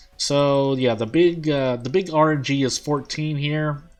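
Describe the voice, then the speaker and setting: A man is talking at a fairly slow pace. Background music plays beneath his words. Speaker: gaming video creator. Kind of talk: let's play commentary. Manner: quiet, holding voice down; halting, many fillers.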